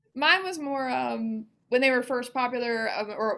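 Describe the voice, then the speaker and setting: A woman with a Southern US accent at a fairly slow pace, on a very clean recording with a silent background. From US South, Mississippi. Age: 30s. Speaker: financial advisor. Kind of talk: podcast interview. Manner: casual, with many fillers.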